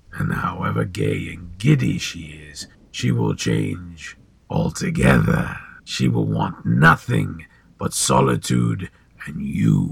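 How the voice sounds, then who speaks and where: Using a put-on character voice, a man speaks fairly slowly in a raspy, very deep, low register with lively intonation. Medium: audio drama. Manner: measured, cryptic, smoothly ominous.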